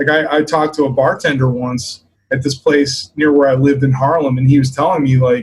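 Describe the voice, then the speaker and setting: Somewhat breathy and fairly high in pitch, a man speaks with an American accent. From US, Maryland. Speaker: bass player, bandleader. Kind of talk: interview. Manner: casual, many fillers.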